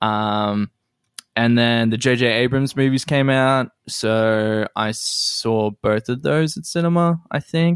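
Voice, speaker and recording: A medium-pitched man with an Australian accent and ordinary pitch variation. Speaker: comedian. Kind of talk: casual chat.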